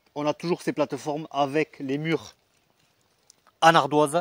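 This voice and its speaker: The voice is monotone, with flat intonation. The sound is dry and close with no echo, on a very clean recording with a silent background. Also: man. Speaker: metal detecting explorer and video host. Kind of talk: casual vlog narration outdoors. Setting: outdoors in an oak forest on a mountain. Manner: hesitant, many fillers.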